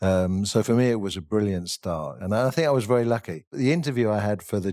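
In a very clean recording with a silent background, a man with a fairly low pitch and a dark, mellow tone speaks with lively intonation and hardly any pauses. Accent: English. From England. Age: 50s. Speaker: chef. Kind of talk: interview.

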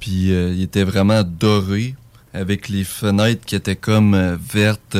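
With a Quebec accent, a man talks at a very slow pace in a fairly low pitch. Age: 20s. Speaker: UFO witness. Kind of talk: testimony. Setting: studio.

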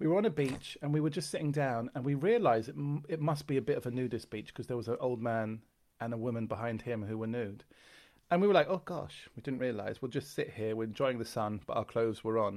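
On a very clean recording with a silent background, a man talks at a very fast pace with lively intonation. He has a London accent and a medium pitch. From London, England. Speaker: comedian. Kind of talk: casual chat.

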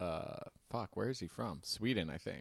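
Captured in a very clean recording with a silent background and a dry, close sound with no echo, a man with an unremarkable speaking voice talks at a fairly low pitch and a moderate pace. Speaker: podcast co-host. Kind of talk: casual chat.

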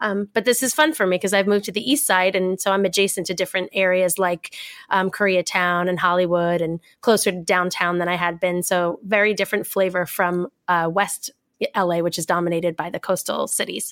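In an American accent, a plain, everyday voice moves at a fairly quick pace with fairly even intonation, dry and close with no echo on a very clean recording with a silent background. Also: woman, medium pitch for a woman. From New York. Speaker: comedian. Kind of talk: casual chat.

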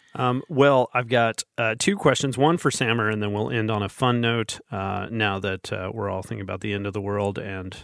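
Speaking at a moderate pace, the man uses a normal speaking voice at a medium pitch, with ordinary pitch variation. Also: very clean recording, silent background. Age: 40s. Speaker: podcast host. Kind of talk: casual chat.

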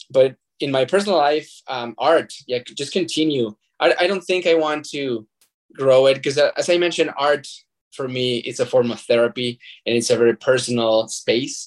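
A man with a Spanish accent talks at a moderate pace in a fairly high pitch, with ordinary pitch variation. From Mexico (Zacatecas). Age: 30s. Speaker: nonprofit fundraising manager and artist. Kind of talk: interview. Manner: halting, with repetitions.

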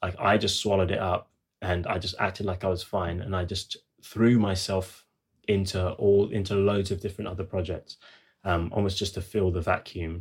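On a very clean recording with a silent background, a man speaks at a moderate pace in a very deep, low pitch, somewhat breathy and monotone with flat intonation. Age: 30s. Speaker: musician. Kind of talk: casual chat.

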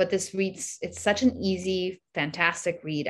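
This is a normal speaking voice from a woman. It sits fairly low in pitch with fairly even intonation. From Mexico, came to US at nine. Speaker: actress and immigrant advocate. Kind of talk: casual interview chat.

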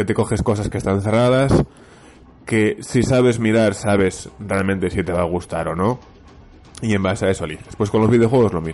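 Music plays in the background. The speaker talks at a fairly quick pace with ordinary pitch variation. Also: man, fairly low pitch for a man. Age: 30s. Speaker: podcast listener. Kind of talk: recorded voice message. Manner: halting.

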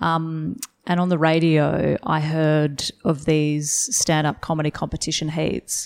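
At a fairly slow pace, a woman with an Australian accent and a very deep, low pitch speaks with fairly even intonation and very even loudness. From Western Australia, rural. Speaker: stand-up comedian. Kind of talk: casual interview. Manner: hesitant, many fillers.

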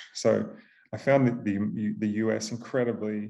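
A dark, mellow tone with an Australian accent and ordinary pitch variation. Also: man. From Australia, Queensland. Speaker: venture capital investor. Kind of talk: interview.

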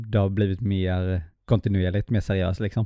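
At a moderate pace, a man talks in a fairly low pitch with an ordinary speaking voice. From Småland, Sweden (Hestra). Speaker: podcast co-host, filmmaker. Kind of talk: casual chat.

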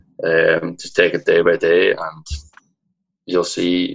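A man talks in a Donegal accent. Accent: Donegal Irish. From Ireland, Donegal. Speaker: fitness program winner, aspiring personal trainer. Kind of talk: casual chat.

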